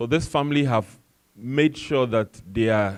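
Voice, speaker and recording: This man speaks with an African accent. His pitch is medium, with ordinary variation. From Ghana, West Africa. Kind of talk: panel discussion talk.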